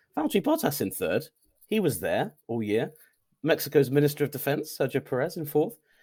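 In a very clean recording with a silent background, a man talks at a fairly quick pace in a fairly high, somewhat breathy voice with lively intonation. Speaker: motorsport journalist. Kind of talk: casual chat. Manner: laughs a lot.

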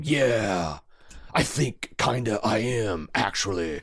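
A man puts on a raspy character voice at a medium pitch. He speaks very slowly. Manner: passive-aggressive, sarcastic.

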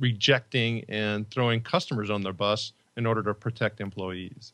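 A man at a moderate pace and medium pitch, with ordinary pitch variation, against a quiet background. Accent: Chicago. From US Midwest, Northwest Indiana near Chicago. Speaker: leadership and employee engagement author. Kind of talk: podcast interview. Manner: halting, many repetitions and fillers.

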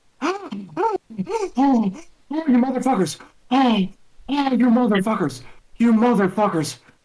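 Shouting in a put-on character voice at a fairly high pitch. The pace is fairly slow, broken by long, frequent pauses. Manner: exuberant, shouting comedic.

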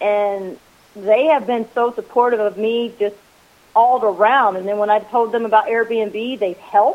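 A woman with a normal speaking voice, fairly high in pitch, talks at a moderate pace with fairly even intonation. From rural US, farming family. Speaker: Airbnb host. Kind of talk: casual chat.

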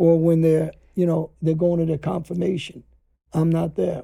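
A man with a New York accent at a moderate pace. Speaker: former mobster. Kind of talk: interview conversation.

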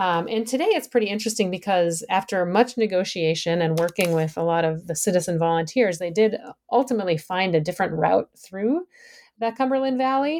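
A woman with an American accent speaks in an unremarkable speaking voice at a medium pitch and a fairly quick pace, with lively intonation, on a very clean recording with a silent background. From Minnesota, US Midwest. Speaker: environmental historian and professor. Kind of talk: podcast interview. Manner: frequent fillers (um, uh).

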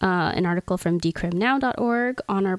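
A woman speaks with an unremarkable speaking voice. Her pitch sits in the middle range and varies in an ordinary way. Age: 20s. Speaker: podcast host. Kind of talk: reading aloud; casual chat.

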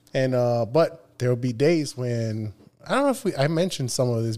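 At a moderate pace, a man speaks in a dark, mellow tone at a medium pitch with ordinary pitch variation. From Nogales, Sonora, Mexico. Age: 30s. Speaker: streamer. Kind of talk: casual chat.

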